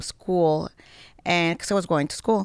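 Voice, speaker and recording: A woman talks with a Mexican accent in a flat, monotone delivery. The sound is dry and close with no echo, on a very clean recording with a silent background. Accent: Mexican Spanish accent, noticeable. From Mexico. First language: Spanish. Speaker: former model. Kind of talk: interview conversation. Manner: halting, broken English.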